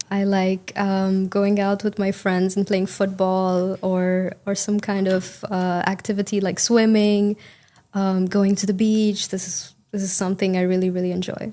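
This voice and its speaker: A woman's medium-pitched voice in an Indian accent, fairly slow and flat, monotone in intonation. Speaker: English speaking test candidate. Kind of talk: speaking exam interview. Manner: hesitant, many fillers.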